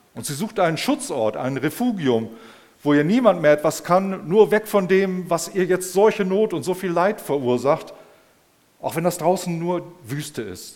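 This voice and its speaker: Speaking high for a man, he has a warm, animated tone and very wide pitch swings. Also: big swings in loudness. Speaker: preacher. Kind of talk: sermon in a church service. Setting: church service with audience and screen. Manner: warm, conversational, addressing the congregation as 'euch'; animated, personal storytelling with rhetorical 'Ne?' asides.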